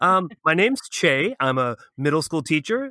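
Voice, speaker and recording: A bright, sharp voice speaks at a fairly slow pace with a Canadian accent. The recording is very clean and dry, close up with no echo and a silent background. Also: man. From Ottawa, Canada. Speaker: middle school teacher and podcast co-host. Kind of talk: casual interview chat.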